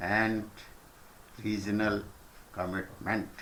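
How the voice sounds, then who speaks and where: Talking at a very slow pace, a man with an Indian accent and a fairly low pitch is heard with audible room echo. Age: old. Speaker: senior citizen recounting history. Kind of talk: reading a prepared letter.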